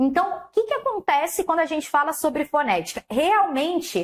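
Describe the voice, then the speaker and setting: With a Carioca accent, a woman talks at a moderate pace with lively intonation. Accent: carioca Brazilian Portuguese. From Rio de Janeiro, Brazil. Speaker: Portuguese language teacher. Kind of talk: online lecture. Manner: laughing at times.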